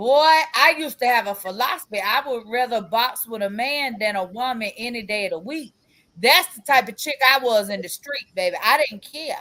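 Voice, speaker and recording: Her voice is high-pitched, bright and sharp, with an animated tone, lively intonation and big swings in loudness as this woman speaks. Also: moderate pace. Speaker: podcast co-host and doula. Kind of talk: casual chat. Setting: video recorded podcast. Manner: repeats words, stammering starts; loud, animated.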